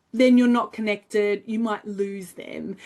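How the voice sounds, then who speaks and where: This woman talks at a fairly high pitch in an Australian accent. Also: quiet background. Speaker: finance educator. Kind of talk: tutorial.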